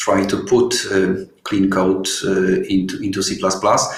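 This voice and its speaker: A man speaks at a fairly slow pace with a Polish accent. There is noticeable background noise and audible room echo. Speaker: software developer. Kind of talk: webinar Q&A. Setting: online webinar. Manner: halting, many fillers.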